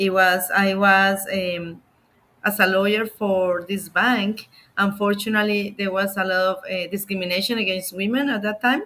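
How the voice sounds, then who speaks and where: A woman speaks with a Colombian accent in a bright, sharp tone. Her intonation is monotone and flat. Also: medium pitch for a woman, moderate pace. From Colombia, Bogota. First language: Spanish. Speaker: immigration lawyer. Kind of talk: interview. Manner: halting.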